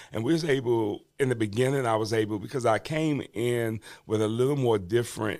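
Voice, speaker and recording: A normal speaking voice at a fairly quick pace, with ordinary pitch variation, in a very clean recording with a silent background. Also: man, medium pitch for a man. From Washington DC. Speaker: bishop and reentry advocate, former prisoner. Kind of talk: podcast interview, personal testimony. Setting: podcast studio. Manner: conversational, with many fillers.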